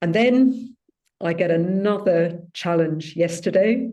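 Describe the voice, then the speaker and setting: A woman speaks with a British accent in a dark, mellow tone. Her pitch is fairly low, with ordinary variation. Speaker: spiritual group leader, also ski instructor. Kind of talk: personal sharing in a spiritual gathering.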